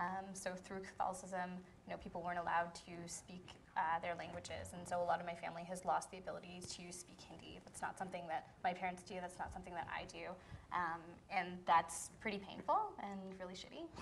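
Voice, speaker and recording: Over light background noise, a woman talks at a very fast pace with vocal fry and big swings in loudness. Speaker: panelist. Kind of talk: panel discussion. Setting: public forum with audience. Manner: casual, uses filler like. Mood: earnest, a bit pained. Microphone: camera far.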